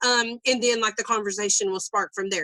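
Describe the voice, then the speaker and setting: A woman's loud, fairly high voice with a bright, sharp tone, dry and close with no echo. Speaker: network marketing coach. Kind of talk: live training session. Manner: fast.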